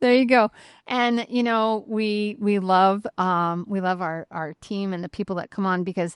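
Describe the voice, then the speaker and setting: A woman at a fairly slow pace, with ordinary pitch movement, an ordinary speaking voice, a quiet background and a dry, close sound with no echo. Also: medium pitch for a woman. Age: 50s. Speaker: podcast host. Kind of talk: casual interview chat.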